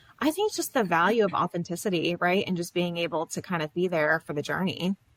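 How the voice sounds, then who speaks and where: Very fast and at a fairly low pitch, a woman speaks with fairly even intonation in a dry, close sound with no echo. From US South, Florida. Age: 30s. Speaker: social work academic. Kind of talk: interview. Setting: studio.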